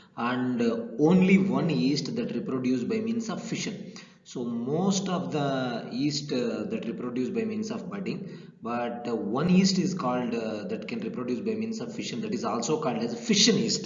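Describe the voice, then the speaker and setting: Through noticeable background noise and audible room echo, a man speaks at a high pitch with very wide pitch swings. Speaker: assistant professor lecturing on plant pathology. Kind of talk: lecture. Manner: fast; hesitant, many fillers.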